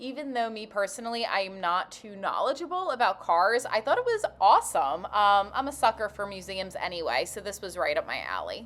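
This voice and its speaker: Animated in tone, a woman talks at a fairly quick pace with hardly any pauses. Her intonation is lively and her loudness swings widely. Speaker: travel vlogger. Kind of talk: travel vlog.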